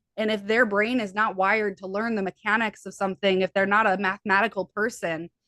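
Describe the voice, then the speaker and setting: Very fast, monotone and flat speech from a woman of medium pitch with a Midwestern American accent, hardly any pauses, and a dry, close sound with no echo. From US Midwest. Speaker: hypnotherapist and healer. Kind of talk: interview conversation.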